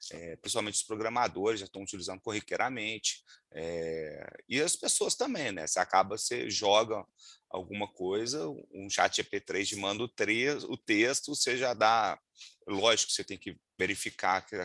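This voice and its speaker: A man with a Minas Gerais accent talks at a moderate pace in a bright, sharp tone, fairly low in pitch with ordinary pitch variation and big swings in loudness. The sound is dry and close with no echo, and the background is quiet. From Minas Gerais, Brazil (Juiz de Fora). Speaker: lawyer and data protection instructor. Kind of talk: webinar talk. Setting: video call. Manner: hesitant, many fillers.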